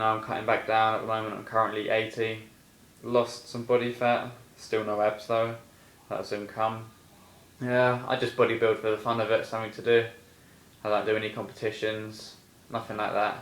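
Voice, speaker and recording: A man with an English accent talks at a moderate pace and medium pitch, in a flat monotone. He leaves long, frequent pauses, and room echo is audible. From England. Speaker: personal trainer. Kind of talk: casual vlog monologue. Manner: casual, hesitant with fillers.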